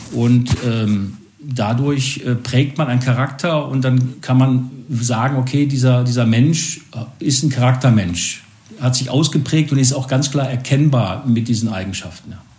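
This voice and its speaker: A man's dark, mellow, somewhat breathy voice at a fairly slow pace, with audible room echo. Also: medium pitch for a man, ordinary pitch variation. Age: 50s. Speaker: sales professional. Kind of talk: casual interview.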